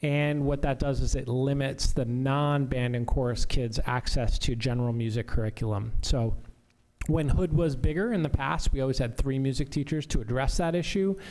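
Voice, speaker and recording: A man's medium-pitched voice with ordinary pitch variation. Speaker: school administrator. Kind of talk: school board meeting report. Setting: public meeting. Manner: fast.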